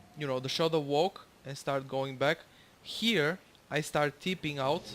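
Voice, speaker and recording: With a Bulgarian accent, a man speaks at a fairly slow pace, his fairly high pitch showing ordinary variation. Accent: non-native English, Bulgarian. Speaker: gamer commentating own gameplay. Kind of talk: gameplay tutorial commentary. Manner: halting, many fillers.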